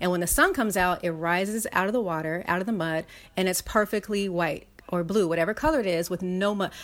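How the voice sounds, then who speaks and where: Speaking at a very fast pace, a woman uses a medium pitch. Her pitch variation is ordinary. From US West Coast, South Central Los Angeles. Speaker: writer and wellness platform founder. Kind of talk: casual interview chat.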